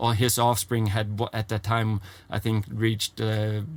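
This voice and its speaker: A man with a Swedish accent at medium pitch, fairly slow and monotone, flat in intonation. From Sweden, Gotland. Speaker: horse trainer. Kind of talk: interview. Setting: in a trailer.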